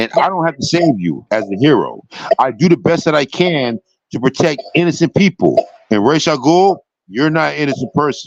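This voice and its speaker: A man's fairly high voice with vocal fry and lively intonation, at a moderate pace, dry and close with no echo. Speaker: dungeon master streamer. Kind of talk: casual chat. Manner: animated.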